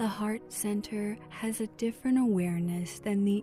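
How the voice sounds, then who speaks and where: Music plays in the background. A woman speaks at a medium pitch with ordinary pitch variation. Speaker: meditation guide. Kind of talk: guided meditation. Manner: slow, calm.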